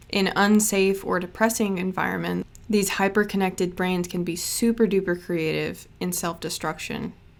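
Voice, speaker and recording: Hardly any pauses break up a woman's monotone, flat delivery. Her medium pitch carries vocal fry. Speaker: witchcraft and art youtuber. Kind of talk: casual vlog talk. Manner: slow.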